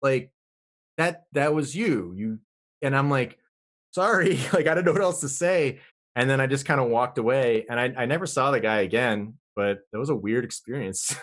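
A man speaks in an ordinary speaking voice at medium pitch, with lively intonation and a moderate pace against a quiet background. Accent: American. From Vermont, US. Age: 30s. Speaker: occult researcher and podcaster. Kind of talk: casual interview chat. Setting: online call.

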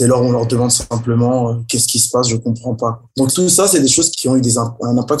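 The intonation is fairly even. The voice is somewhat breathy. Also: man. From Paris region, France. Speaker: rapper and artist. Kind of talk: interview. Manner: halting.

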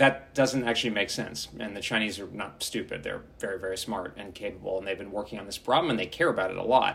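This man has a normal speaking voice, medium in pitch with ordinary pitch variation, and an American accent. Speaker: defence strategist. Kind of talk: interview.

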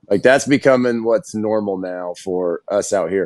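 With an American accent, a man talks at a moderate pace in an ordinary speaking voice with lively intonation. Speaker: former football player, radio host. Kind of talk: casual chat.

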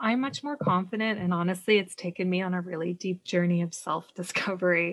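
A woman with a normal speaking voice and medium pitch talks at a fairly quick pace with a Canadian accent. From Canada. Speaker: decluttering coach. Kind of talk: casual interview chat.

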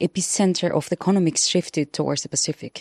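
The voice has a dark, mellow tone and fairly even intonation. The sound is dry and close with no echo, over a quiet background. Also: woman. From Chile. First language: Spanish. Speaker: journalist and commentator. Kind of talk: panel discussion.

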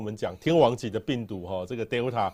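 The recording is very clean, with a silent background. A man talks at medium pitch in a dark, mellow tone. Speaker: podcast host, weather expert. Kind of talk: interview.

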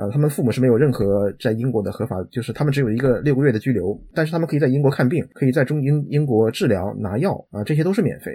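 Somewhat breathy and dark, mellow in tone, a man speaks at a medium pitch and a very fast pace with hardly any pauses. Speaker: IT professional. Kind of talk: interview conversation.

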